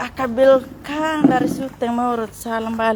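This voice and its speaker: Noticeable background noise sits behind a woman speaking at a moderate pace. Her voice is fairly high in pitch with fairly even intonation. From Sabu island, East Nusa Tenggara, Indonesia. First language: Sabu (speaking Indonesian). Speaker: live streamer. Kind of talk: live stream chat with viewers.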